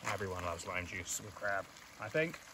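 Clear background noise sits behind the voice. The intonation is lively and the pace moderate. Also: man.

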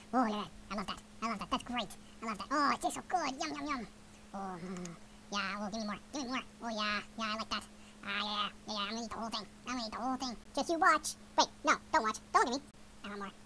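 A whiny, put-on character voice, female-sounding and fairly high-pitched, at a very fast pace over clear background noise. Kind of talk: silly pet voice-over. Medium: dub. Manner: fast, whiny, excitable.

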